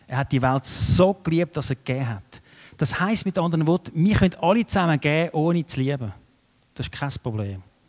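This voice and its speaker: Heard in a dry, close sound with no echo, a man with an unremarkable speaking voice talks at a fairly quick pace and fairly high pitch. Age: 50s. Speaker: guest preacher. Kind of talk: sermon with audience questions.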